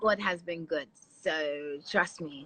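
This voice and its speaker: A woman speaks in an animated tone with a London accent. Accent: London accent, taken as foreign in Ghana. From London, England. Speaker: TV and radio presenter. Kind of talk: casual interview chat. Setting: live video stream.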